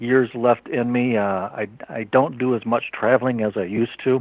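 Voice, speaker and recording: The man's voice sits at a medium pitch. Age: 60s. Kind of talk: interview. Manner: halting.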